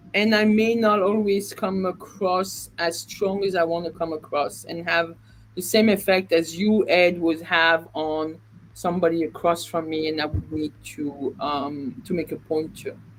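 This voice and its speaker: The speaker has a non-native accent, talking at a fairly slow pace with ordinary pitch variation. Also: woman, fairly low pitch for a woman. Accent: noticeable non-native. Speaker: real estate agent. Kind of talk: live stream discussion. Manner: halting.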